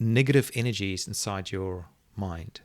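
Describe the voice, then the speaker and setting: With a South African accent, a man speaks using ordinary pitch variation. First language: Afrikaans. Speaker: online video marketing expert. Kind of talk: interview. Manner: halting.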